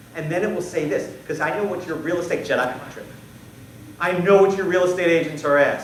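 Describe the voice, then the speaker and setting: Amid noticeable background noise and audible room echo, a man speaks in an animated tone at a fairly quick pace with ordinary pitch variation. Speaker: conference keynote speaker on sales. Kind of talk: conference presentation. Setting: stage with audience. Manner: fast.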